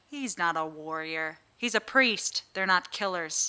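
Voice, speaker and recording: A woman puts on a character voice, fairly low in pitch, with lively intonation. She speaks at a fairly slow pace. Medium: audio drama. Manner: terse, blunt.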